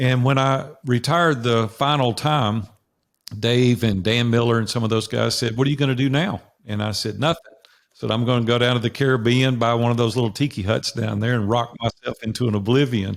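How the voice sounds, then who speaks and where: Talking at a fairly quick pace in a Tennessee accent, a man keeps a medium pitch and fairly even intonation. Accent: Southern US (Tennessee). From US South, Nashville, Tennessee. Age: 60s. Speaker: business coach and entrepreneur. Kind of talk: interview storytelling.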